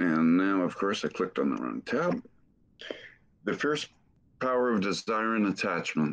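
Against a quiet background, a man with a fairly low pitch speaks at a moderate pace, pausing long and often, his pitch swinging very widely. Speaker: session organizer. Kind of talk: reading aloud. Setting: video call. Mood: calm, devotional. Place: home room. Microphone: webcam.

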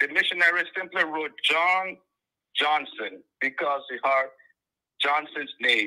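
Over a quiet background, a man with a high pitch and ordinary pitch variation speaks at a fairly slow pace, leaving long, frequent pauses. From Liberia. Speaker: caller. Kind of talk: phone-in call.

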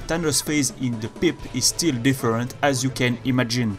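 With music in the background, a speaker with a non-native accent talks at a moderate pace with ordinary pitch variation. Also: man. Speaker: video game analysis youtuber. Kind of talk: game commentary narration.

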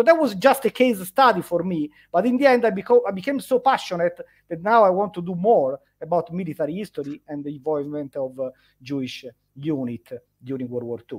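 A man with an Italian accent speaks at a fairly quick pace in a high pitch, with very wide pitch swings. His loudness rises and falls a lot against a quiet background. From Italy. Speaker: history lecturer. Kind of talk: interview on history. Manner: halting, with repetitions. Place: home room. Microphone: headset.

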